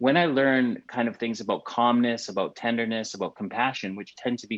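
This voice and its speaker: In a Canadian accent, a man speaks at a medium pitch and a fairly quick pace in a normal speaking voice. The background is quiet. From Canada. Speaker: podcast co-host. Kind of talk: casual chat.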